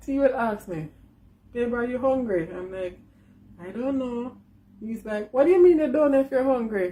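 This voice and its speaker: This woman's high-pitched voice has a dark, mellow tone and lively intonation, moving at a moderate pace with long, frequent pauses. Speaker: vlogger. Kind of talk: casual vlog.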